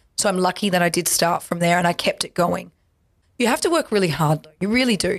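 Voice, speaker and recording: A woman with an Australian accent talks at a fairly low pitch with vocal fry. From Perth, Western Australia; Western Australia. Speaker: accordionist and musician; guest. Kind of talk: interview. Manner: animated. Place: studio. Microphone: studio mic.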